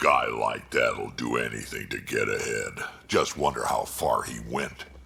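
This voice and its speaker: A man's growling, put-on character voice at a moderate pace over clear background noise. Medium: video game.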